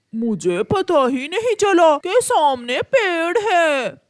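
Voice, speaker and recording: This cartoonish character voice sits at an extremely high pitch, moving very slowly through very wide pitch swings. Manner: brash, dismissive of warnings.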